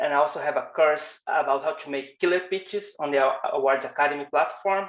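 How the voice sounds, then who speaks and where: A man with a Portuguese accent and a fairly high pitch. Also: ordinary pitch variation, fairly quick pace. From Brazil. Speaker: designer and animation instructor. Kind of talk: online workshop presentation.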